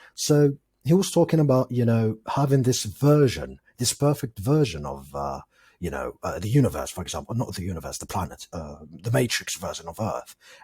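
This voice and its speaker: This voice has a dark, mellow tone, somewhat breathy, with very wide pitch swings and big swings in loudness. The pace is moderate and the recording very clean, with a silent background. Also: man, medium pitch for a man. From Algeria. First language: not English; English is his fourth language. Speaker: podcast guest, film enthusiast. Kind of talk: casual chat.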